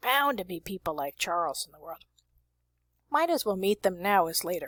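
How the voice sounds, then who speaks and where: A woman puts on a character voice with very wide pitch swings around a medium pitch. She goes at a moderate pace, and the sound is dry and close with no echo. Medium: read story. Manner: dry, calm.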